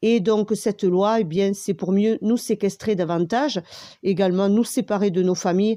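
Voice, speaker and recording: Against a quiet background, a woman talks fairly slowly in a dark, mellow tone at medium pitch, with ordinary pitch variation. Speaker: video commentator. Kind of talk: monologue commentary. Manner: halting, many fillers.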